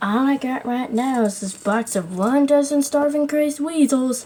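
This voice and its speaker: The voice is a put-on character voice delivered at a moderate pace. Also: woman, high pitch for a woman. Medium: solo performance. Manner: curt, bored.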